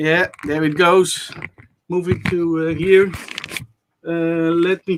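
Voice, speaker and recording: Loud and very slow, the speaker talks with a Dutch accent in a monotone, flat intonation, with long, frequent pauses. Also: man, high pitch for a man. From Netherlands. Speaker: maker showing a project. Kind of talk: casual chat. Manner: halting, many uh fillers.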